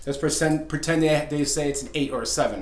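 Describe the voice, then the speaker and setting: Audible room echo around a man's fairly quick delivery. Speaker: fitness coach and author. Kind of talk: video talk. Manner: fast; halting, many fillers.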